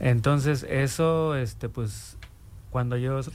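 Noticeable background noise behind a man talking very slowly. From Mexico City. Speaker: community commission member. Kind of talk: interview. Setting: radio studio.

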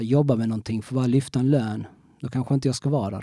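With a dark, mellow tone, a man speaks at a medium pitch and with fairly even intonation. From Sweden, Skåne (Kristianstad). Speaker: former criminal turned motivational coach. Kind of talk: interview testimony. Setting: studio. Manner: halting, many repetitions.

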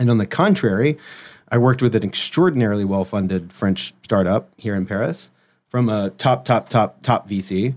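A man with an American accent speaks in a normal speaking voice, fairly low in pitch with ordinary variation, at a moderate pace. The recording is very clean with a silent background. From US South, Memphis. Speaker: brand strategy consultant. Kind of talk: interview.

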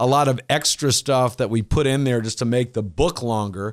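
A man's normal speaking voice, medium in pitch, with an American accent at a moderate pace, on a very clean recording with a silent background. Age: 50s. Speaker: leadership coach. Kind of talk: interview.

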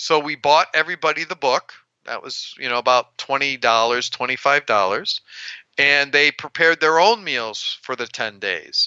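A man's fairly high-pitched, a normal speaking voice, fairly slow in pace with lively intonation. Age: 60s. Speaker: heart attack survivor. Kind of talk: interview.

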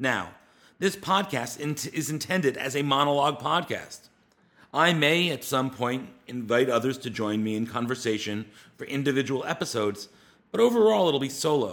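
Speaking in an American accent, a man with an unremarkable speaking voice and a fairly high pitch uses lively intonation at a moderate pace. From US East Coast. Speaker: podcast host and media project founder. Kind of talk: solo monologue podcast, partly scripted.

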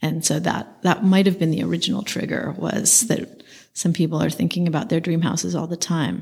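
Speaking with an American accent, a woman talks at a fairly quick pace. Her pitch is fairly low, and there is vocal fry. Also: fairly even intonation. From US West Coast, San Francisco. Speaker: architect. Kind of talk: interview.

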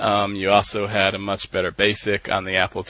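A man with an American accent talks at a moderate pace over a quiet background. His pitch is fairly low and his tone bright and sharp. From Texas (Dallas). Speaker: retro computing blogger. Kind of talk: interview. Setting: remote call from Norway.

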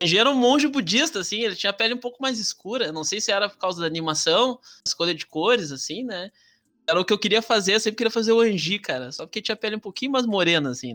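In a dry, close recording with no echo, a man with a high, bright, sharp voice speaks very fast in a raised, projected voice, with lively intonation and big swings in loudness. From southern Brazil, Rio Grande do Sul (Alvorada). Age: 30s. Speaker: history teacher. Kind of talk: casual chat. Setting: video call.

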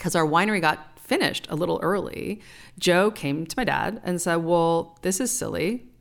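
With an American accent and an unremarkable speaking voice, a woman talks at a fairly low pitch and moderate pace on a very clean recording with a silent background. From California. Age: 50s. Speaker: winemaker. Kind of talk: casual chat.

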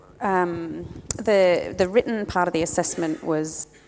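Over noticeable background noise, a woman speaks very slowly at a medium pitch. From England. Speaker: church planter. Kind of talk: casual interview.

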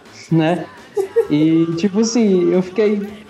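A man speaks with ordinary pitch variation. Audible room echo and noticeable background noise fill the recording. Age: 30s. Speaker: podcast co-host. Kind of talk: casual chat.

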